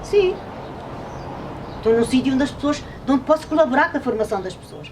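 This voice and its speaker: Very fast female speech with noticeable background noise behind it. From Covilhã, Portugal. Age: 70s. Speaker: retired textile worker and former trade unionist. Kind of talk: interview answer.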